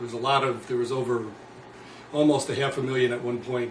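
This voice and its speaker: A man of medium pitch speaks with an American accent, with noticeable background noise and audible room echo. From New Jersey. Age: 60s. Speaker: former prisoner and anti-war activist. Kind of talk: interview.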